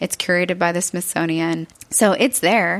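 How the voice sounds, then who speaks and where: Speaking with an American accent, a woman uses a plain, everyday voice at a fairly low pitch, with ordinary pitch variation and a moderate pace. The sound is dry and close, with no echo. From Texas, Eagle Lake (small farming town). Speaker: artist and military veteran. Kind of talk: interview conversation.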